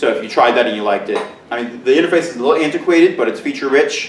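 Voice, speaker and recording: Audible room echo paired with noticeable background noise. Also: man. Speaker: teacher and conference presenter. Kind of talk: conference presentation. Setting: conference room with audience, echoey. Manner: loud, near shouting. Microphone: far from camera mic, room echo.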